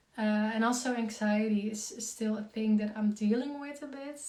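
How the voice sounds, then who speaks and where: With a Dutch accent and audible room echo, a woman speaks at a fairly slow pace in a somewhat breathy, fairly high voice with a dark, mellow tone. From Netherlands. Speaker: concussion coach and community founder. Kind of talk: live Q&A. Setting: Instagram live stream. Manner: halting with many fillers.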